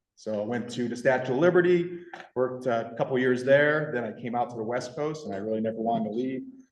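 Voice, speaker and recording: Speaking very fast, a man has a slight Michigan accent and a medium pitch. His ordinary pitch variation carries audible room echo. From rural Michigan. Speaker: park ranger / land management official. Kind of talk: public meeting self-introduction.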